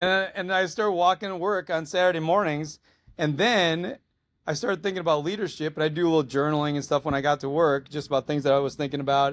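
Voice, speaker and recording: This man talks at a very fast pace in a fairly high voice, with an animated tone and ordinary pitch variation. The recording is very clean, with a silent background. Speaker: school superintendent. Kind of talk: podcast interview. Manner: loud.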